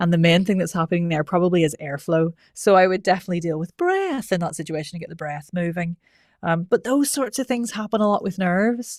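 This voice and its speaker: Someone with a Northern Irish accent talks at a very fast pace with ordinary pitch variation, the sound dry and close with no echo. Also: woman, fairly low pitch for a woman. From Northern Ireland. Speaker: voice coach. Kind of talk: interview. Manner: conversational, filler-heavy.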